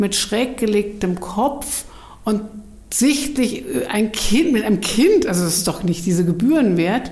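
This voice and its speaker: Amid noticeable background noise and audible room echo, a woman with a fairly high voice talks at a fairly slow pace with lively intonation. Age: 60s. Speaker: book publisher. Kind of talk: casual chat.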